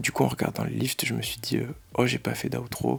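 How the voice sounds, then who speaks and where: A man speaks softly. Noticeable background noise runs under his voice. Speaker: powerlifter and vlogger. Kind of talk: casual vlog. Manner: soft-spoken.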